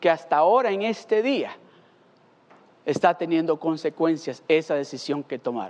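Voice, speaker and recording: A moderate pace broken by long, frequent pauses. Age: 50s. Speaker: pastor. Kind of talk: sermon.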